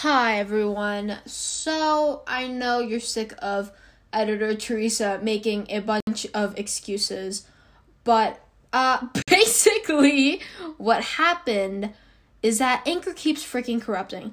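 A woman talks very slowly at a fairly high pitch. Her pitch varies in an ordinary way. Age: young. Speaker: student podcaster. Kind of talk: casual monologue. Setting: bedroom. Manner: animated.

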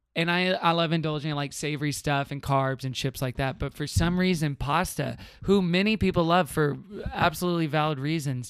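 Using an unremarkable speaking voice with an American accent, a man speaks at a fairly high pitch with ordinary pitch variation. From Houston, Texas. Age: 30s. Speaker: podcast guest. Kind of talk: casual chat.

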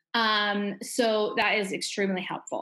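A woman's medium-pitched voice with an American accent, set against noticeable background noise. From Alaska, US. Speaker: stay-at-home mom, former nurse. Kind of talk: casual interview. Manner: hesitant, many fillers.

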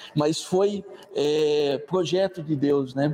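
Ordinary pitch variation from a man, with noticeable background noise behind him. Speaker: evangelist. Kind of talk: sermon. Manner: casual, hesitant with fillers.

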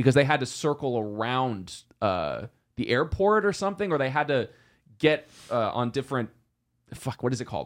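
Here is a plain, everyday voice from a man at medium pitch, moving at a moderate pace. The intonation is lively, and the recording is very clean with a silent background. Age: 20s. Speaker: podcast co-host. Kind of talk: casual chat.

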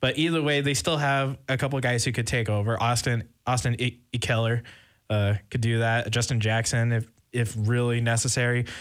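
An unremarkable speaking voice belongs to a man talking at a moderate pace in a very clean recording with a silent background. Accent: American. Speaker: college radio sports host. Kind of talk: casual sports talk radio.

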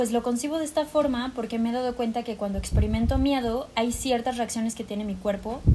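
This woman talks at a high pitch with ordinary pitch variation. Her pace is fairly quick with hardly any pauses, over noticeable background noise. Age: 20s. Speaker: university student and yoga teacher. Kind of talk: casual chat.

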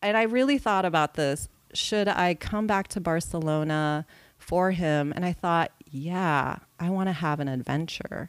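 An unremarkable speaking voice from a woman with an American accent, fairly low in pitch with ordinary pitch variation, at a fairly slow pace. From California. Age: 40s. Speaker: TV editor. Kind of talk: casual chat.

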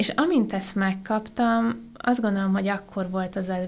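A woman talks with a medium pitch. Her pace is fairly slow. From Transylvania, Romania (Oradea). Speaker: IT business unit and innovation manager. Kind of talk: casual interview chat.

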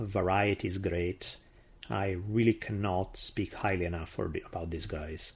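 A man with an Italian accent speaks in a fairly low, somewhat breathy voice with ordinary pitch variation against a quiet background. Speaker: history podcast host. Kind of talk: scripted narration.

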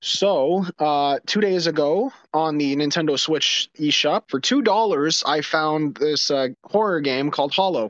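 Using a normal speaking voice, a man of fairly high pitch talks at a fairly slow pace with hardly any pauses, ordinary pitch variation and very even loudness, in a dry, close sound with no echo. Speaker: podcast co-host. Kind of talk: casual chat.

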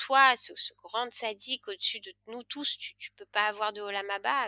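A woman's fairly high, bright, sharp voice, fairly slow with ordinary pitch variation and a dry, close sound with no echo. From France, Lyon. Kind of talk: interview. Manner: halting.

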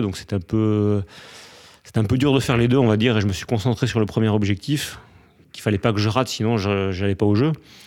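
A man speaks with a fairly low pitch and a dark, mellow tone, his intonation fairly even. The recording is very clean, with a silent background. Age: 40s. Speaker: former pro triathlete and triathlon coach. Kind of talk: interview.

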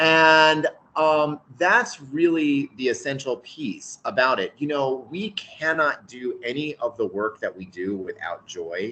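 A man speaks at a very slow pace, his bright, sharp tone carried by lively intonation. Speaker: school head. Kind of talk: interview conversation.

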